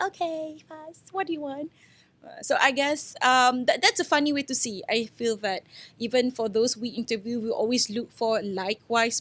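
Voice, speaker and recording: The voice is loud, with lively intonation. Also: woman. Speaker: entrepreneur. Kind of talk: podcast interview. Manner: casual, filler-heavy.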